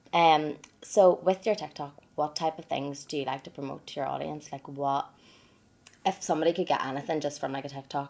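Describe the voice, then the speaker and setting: A woman with a Northern Irish accent talks at a fairly quick pace in a very deep, low pitch with fairly even intonation. Her loudness swings widely on a very clean recording with a silent background. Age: 20s. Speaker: podcast host. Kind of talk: casual chat.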